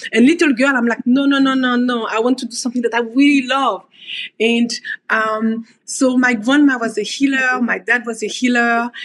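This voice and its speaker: A moderate pace in a French accent. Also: woman, high pitch for a woman. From French Caribbean (Guadeloupe), raised in Paris. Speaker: osteopath. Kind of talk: podcast interview. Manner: hesitant, many fillers; animated.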